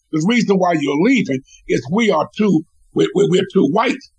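Speaking fast-ish with a lively lilt, a man in an American accent talks at a high pitch. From Washington, DC. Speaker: former state legislator and community organizer. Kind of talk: radio interview.

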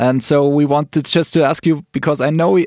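Speaking at a fairly quick pace in a German accent, a man with a fairly high pitch, ordinary pitch variation and a dark, mellow tone comes through in a dry, close sound with no echo. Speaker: radio podcast host. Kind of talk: casual interview; radio presenting.

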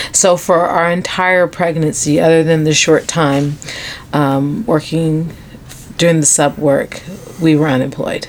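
A woman speaks with a very deep, low pitch and fairly even intonation. Her pace is fairly slow, with noticeable background noise. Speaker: doula and podcast co-host. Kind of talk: casual chat.

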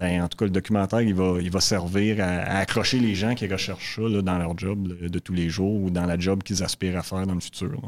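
A man speaks at a fairly quick pace with hardly any pauses. His voice is very deep and low, with fairly even intonation. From Quebec, Montreal south shore. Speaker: exploration geologist executive. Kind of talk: interview. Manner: halting.

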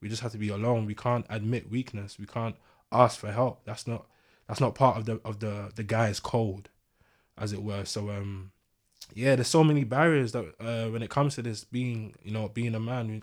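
A man with a London accent at a medium pitch, moderate pace and fairly even intonation, on a very clean recording with a silent background. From East London. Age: 20s. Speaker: podcast guest. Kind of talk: casual chat.

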